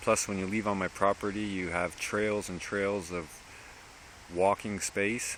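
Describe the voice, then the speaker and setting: Fairly low in pitch, this man talks at a fairly slow pace. His intonation is monotone and flat. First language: French. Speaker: dog rescuer vlogger. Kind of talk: casual vlog monologue. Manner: halting, with repetitions.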